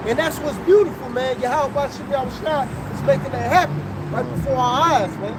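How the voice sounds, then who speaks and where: A man's animated voice at a moderate pace, with audible room echo and noticeable background noise. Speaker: street preacher. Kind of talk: street preaching.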